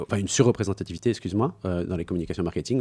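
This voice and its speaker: A man talks at a very fast pace in a very deep, low, dark and mellow voice with ordinary pitch variation. The recording is very clean with a silent background. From France. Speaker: entrepreneur, speakers agency founder. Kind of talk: podcast interview. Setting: studio. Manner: hesitant, many fillers.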